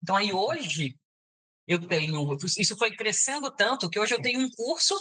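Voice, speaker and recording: This woman's intonation is lively. She speaks at a moderate pace. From Brazil, Bahia. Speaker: psychologist. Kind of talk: interview.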